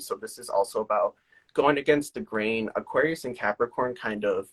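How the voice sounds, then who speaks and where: With a dry, close sound and no echo, a man talks at a fairly quick pace with lively intonation in a plain, everyday voice. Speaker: tarot reader. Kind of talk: live-stream tarot reading. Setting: live social media video stream.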